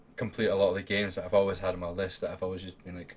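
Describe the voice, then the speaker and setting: A man's very deep, low, somewhat breathy voice with an Edinburgh accent. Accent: Scottish (Edinburgh). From Scotland, Edinburgh. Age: 20s. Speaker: gaming streamer and podcast host. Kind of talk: casual livestream chat. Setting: home room while streaming.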